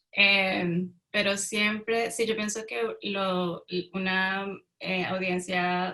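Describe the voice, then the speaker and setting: Speaking very slowly, a woman uses a medium-pitched, bright and sharp voice with flat, monotone intonation. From Colombia. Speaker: writer. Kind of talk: panel talk. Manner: halting.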